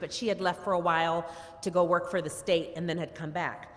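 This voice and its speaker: An unremarkable speaking voice at a moderate pace. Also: woman. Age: 60s. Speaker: family member giving eulogy. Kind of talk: eulogy. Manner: conversational.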